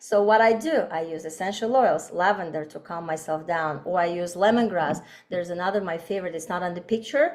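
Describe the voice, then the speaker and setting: A woman talks in a plain, everyday voice at a medium pitch. She speaks at a fairly quick pace with ordinary pitch variation. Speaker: doctor and aromatherapy teacher. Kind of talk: online workshop presentation.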